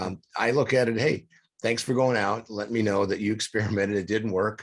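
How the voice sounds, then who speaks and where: Against a quiet background, a man with a plain, everyday voice speaks at a fairly low pitch and a fairly quick pace, his intonation fairly even. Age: 60s. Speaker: podcast co-host, recovery coach. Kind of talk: casual interview chat. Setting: studio.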